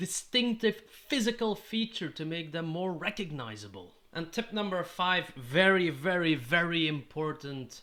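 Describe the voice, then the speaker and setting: A man with a Dutch accent talks fairly slowly in a raised, projected voice. His tone is bright and sharp, and his pitch is high. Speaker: tabletop gaming YouTuber. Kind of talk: tutorial.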